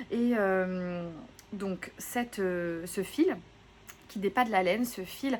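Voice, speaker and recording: A woman at medium pitch, very slow, with ordinary pitch variation. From southwest France, Gironde. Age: 30s. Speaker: knitting podcaster. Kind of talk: casual vlog chat. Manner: hesitant, many fillers.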